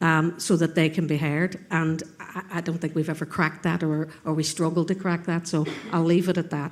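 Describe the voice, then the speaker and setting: With a Northern Irish accent, a woman speaks at a fairly low pitch in a monotone, flat intonation. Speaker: panel speaker at a conference. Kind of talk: panel discussion. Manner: halting.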